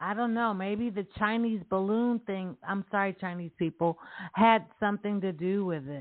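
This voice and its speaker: Her pitch is medium and varies in an ordinary way. This woman, with an unremarkable speaking voice, keeps a moderate pace. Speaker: radio host. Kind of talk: casual banter podcast chat. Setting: online radio show.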